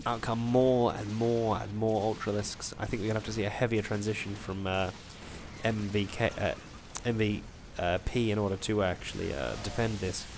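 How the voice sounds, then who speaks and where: A man with a fairly low pitch speaks in monotone, flat intonation against noticeable background noise. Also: moderate pace. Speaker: amateur esports commentator. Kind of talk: game commentary. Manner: hesitant, many filler words.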